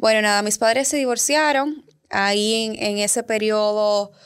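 A woman with an ordinary speaking voice and a fairly high pitch talks at a fairly slow pace on a very clean recording with a silent background. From Dominican Republic. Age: 20s. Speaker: communication educator and founder. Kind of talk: interview, personal story.

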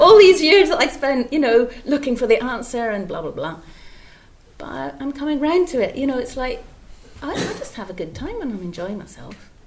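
Over noticeable background noise, a woman speaks at a moderate pace with a high pitch, very wide pitch swings and big swings in loudness. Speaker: widow attending satsang.

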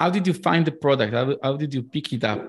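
A man talks at a moderate pace with an Israeli accent. His medium pitch varies in an ordinary way against a quiet background. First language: Hebrew. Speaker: podcast host. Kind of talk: casual interview conversation.

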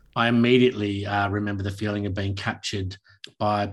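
Against a quiet background, a man with a fairly low-pitched voice speaks in an Australian accent with ordinary pitch variation. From Tasmania, Australia (Launceston). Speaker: actor and playwright. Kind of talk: interview.

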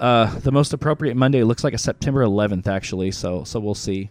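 Speaking in a plain, everyday voice, a man moves at a fairly quick pace with lively intonation. The background is quiet. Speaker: music promoter, DJ and talk show host. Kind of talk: casual livestream chat. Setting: online livestream.

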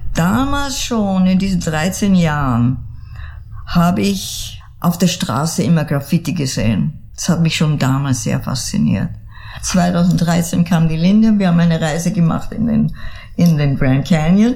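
Her pitch fairly low yet swinging very widely, a woman speaks with audible room echo around her. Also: fairly slow pace. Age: 80s+. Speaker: artist and storyteller. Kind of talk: interview. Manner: halting, many repeats.

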